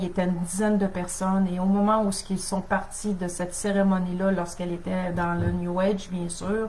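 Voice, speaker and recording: Noticeable background noise and audible room echo surround a voice with monotone, flat intonation. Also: woman. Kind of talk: teaching on a live stream. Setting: Facebook live stream.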